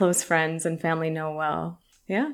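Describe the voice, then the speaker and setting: The recording is very clean and the background silent. In it, a woman talks with an American accent. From US West Coast, San Francisco. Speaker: journalist and video presenter. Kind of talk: casual interview chat.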